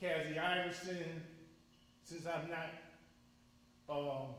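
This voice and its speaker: A man with an American accent talks at a fairly slow pace in a high pitch and a monotone, flat intonation. Audible room echo and noticeable background noise surround his voice. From Connecticut, Waterbury. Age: 60s. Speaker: public commenter at community forum. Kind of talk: public comment at community forum. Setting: school forum, speaking at mic. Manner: emotional, earnest.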